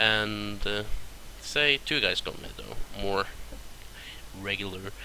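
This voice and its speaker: A man speaks very slowly at a fairly low pitch. His intonation stays fairly even. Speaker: gaming video creator. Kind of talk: tutorial.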